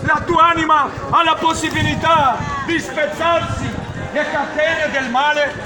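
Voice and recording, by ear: Over clear background noise, including clear crowd noise, a man with an extremely high pitch speaks at a fairly slow pace with fairly even intonation.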